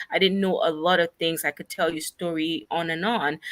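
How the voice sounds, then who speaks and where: A woman with an African accent talks at a fairly quick pace in a bright, sharp tone and fairly even intonation, the very clean recording dry and close with no echo and a silent background. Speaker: nonprofit founder. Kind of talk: interview.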